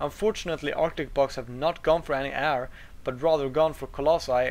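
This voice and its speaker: With a non-native accent, a man talks at a fairly quick pace and a fairly high pitch, his intonation fairly even. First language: not English. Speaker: game commentator. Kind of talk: live commentary. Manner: halting, with fillers and restarts.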